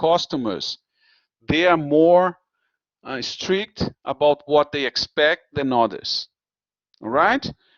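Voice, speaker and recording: The speaker talks very slowly in a Portuguese accent. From Brazil. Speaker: university lecturer. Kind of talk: lecture. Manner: halting.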